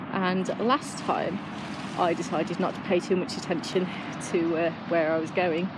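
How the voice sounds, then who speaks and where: Loud background noise accompanies a woman's voice in a dry sound with no echo. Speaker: runner vlogger. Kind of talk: casual vlog chat. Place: street. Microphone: earbuds.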